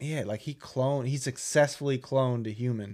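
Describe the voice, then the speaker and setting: On a very clean recording with a silent background, a man with an ordinary speaking voice talks at a medium pitch and moderate pace, his intonation fairly even. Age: 20s. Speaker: podcast co-host. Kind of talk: casual chat.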